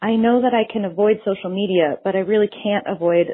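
Fairly quick and medium-pitched, a woman speaks in a plain, everyday voice with ordinary pitch variation. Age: 30s. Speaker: podcast listener leaving a question. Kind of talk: recorded voicemail question.

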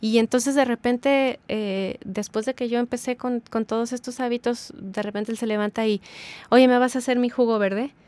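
At a high pitch, a woman speaks at a moderate pace in a monotone, flat manner. The sound is dry and close with no echo. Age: 40s. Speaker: habits coach. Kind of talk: casual interview.

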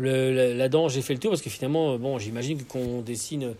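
A man speaks at a medium pitch and a very fast pace. His pitch varies in an ordinary way. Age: 40s. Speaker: podcast host interviewing an artist. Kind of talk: casual interview. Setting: at the guest's home, with birds.

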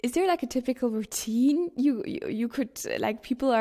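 With a dark, mellow tone and a high pitch, a woman speaks at a fairly quick pace in a very clean recording with a silent background. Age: 20s. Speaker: podcast host. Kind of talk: interview conversation.

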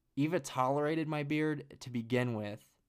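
A man with fairly even intonation. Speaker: solo podcast host. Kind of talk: casual solo monologue. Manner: laughs often.

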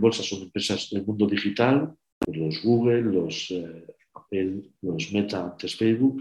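In a plain, everyday voice, a man speaks at a fairly slow pace and a fairly low pitch. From Spain, Burgos. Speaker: patent and industry executive. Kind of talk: online webinar presentation.

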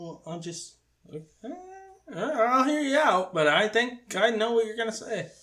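The voice is raised and projected, with lively intonation and big swings in loudness. Long pauses come often. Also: man, high pitch for a man, moderate pace. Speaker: podcast host. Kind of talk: casual chat.

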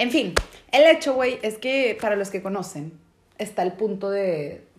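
A Mexican accent over noticeable background noise. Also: woman. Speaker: podcast co-host. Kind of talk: casual chat.

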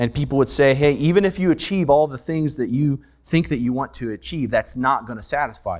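In a normal speaking voice, a man talks at a fairly quick pace with hardly any pauses, a fairly high pitch, ordinary pitch variation and big swings in loudness. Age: 30s. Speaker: pastor. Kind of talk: sermon.

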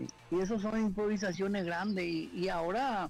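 A man's fairly slow, fairly even-toned speech with music in the background. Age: 60s. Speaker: football commentator. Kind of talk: radio phone interview. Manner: halting.

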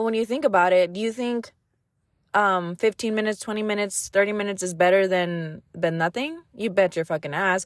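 A woman's ordinary speaking voice at a medium pitch and fairly quick pace, in a very clean recording with a silent background. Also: ordinary pitch variation. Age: 30s. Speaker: podcast host. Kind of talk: casual solo monologue. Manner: casual, rambling with many fillers.

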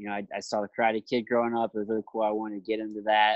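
A man talks with an American accent at a medium pitch. The sound is dry and close, with no echo. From Jefferson City, Missouri. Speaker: professional MMA fighter and podcaster. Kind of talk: interview. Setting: remote call.

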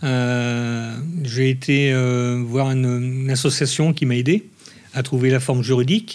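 A man speaks in a plain, everyday voice at a medium pitch. His pace is fairly slow and his intonation fairly even. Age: 50s. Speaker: ice cream maker and business owner. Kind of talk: interview.

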